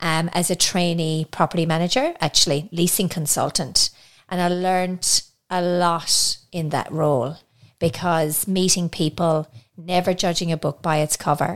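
A woman with a slight Irish accent speaks at a moderate pace and a fairly low pitch. Her intonation stays fairly even in a very clean recording with a silent background. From Ireland. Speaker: podcast co-host, property manager. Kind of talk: casual chat.

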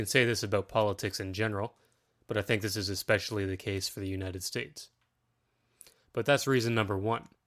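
With a Canadian accent and fairly low pitch, a man talks at a very fast pace yet leaves long, frequent pauses, using fairly even intonation in a very clean recording with a silent background. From Ontario, Canada. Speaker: political podcaster. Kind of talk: solo monologue.

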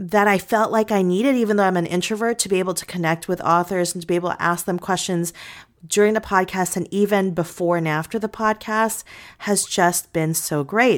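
A woman talks with an ordinary speaking voice at medium pitch and with fairly even intonation. The recording is very clean, with a silent background. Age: 40s. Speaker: podcast host and author. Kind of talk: casual solo talk.

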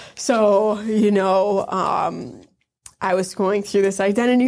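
In an Upper Midwest accent, a woman speaks at a fairly slow pace and a fairly high pitch. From northern Wisconsin near Michigan's Upper Peninsula. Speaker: Navy veteran. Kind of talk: interview testimony.

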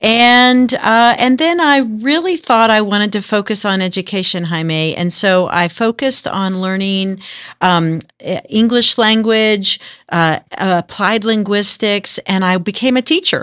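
A woman with an American accent and a plain, everyday voice talks at a fairly slow pace with fairly high pitch and lively intonation, in a very clean recording with a silent background. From North Texas. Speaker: workforce agency executive. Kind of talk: interview.

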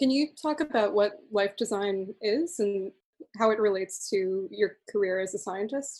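A woman speaks at a moderate pace. She has an ordinary speaking voice. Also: medium pitch for a woman, lively intonation. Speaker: podcast host. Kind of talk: interview.

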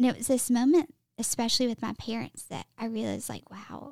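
Pitched high, a woman speaks with fairly even intonation. The sound is dry and close, with no echo. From Alabama. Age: 20s. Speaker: personal trainer and wellness coach. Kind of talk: testimony.

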